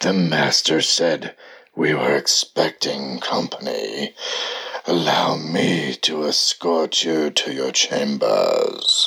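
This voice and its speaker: A man puts on a raspy character voice, very deep and low, speaking at a very slow pace. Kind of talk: gothic horror character acting. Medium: game stream. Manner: formal, courteous, ominous.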